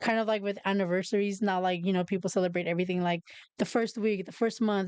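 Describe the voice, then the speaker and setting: A woman with a Spanish accent speaks very fast in a monotone, flat intonation at a medium pitch, against a quiet background. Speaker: podcast host. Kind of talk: casual chat. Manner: halting.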